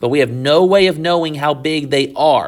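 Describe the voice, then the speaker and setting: At a fairly high pitch, a man uses an ordinary speaking voice with fairly even intonation. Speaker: high school math teacher. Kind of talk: tutorial.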